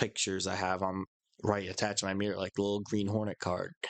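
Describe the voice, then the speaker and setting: This man has an American accent and a fairly low pitch. The sound is dry and close, with no echo. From Staten Island, New York. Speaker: vlogger. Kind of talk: personal vlog. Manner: monotone; flat, unexpressive.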